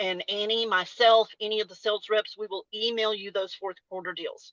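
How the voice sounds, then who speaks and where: Speaking with a Texas accent is a woman. Her pitch is fairly high. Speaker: salon industry educator and former salon owner. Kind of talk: webinar presentation. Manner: casual, conversational with fillers.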